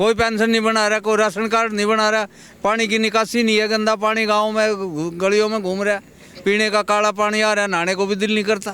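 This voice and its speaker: A man uses a raised, projected voice at a high pitch and moderate pace, with monotone, flat intonation and very even loudness. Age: 60s. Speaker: local resident. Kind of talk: street interview, complaint.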